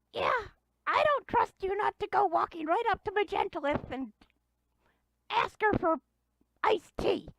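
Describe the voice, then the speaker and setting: A put-on character voice at an extremely high pitch, with long, frequent pauses. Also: moderate pace. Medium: actual play. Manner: clipped broken grammar, refers to self in third person.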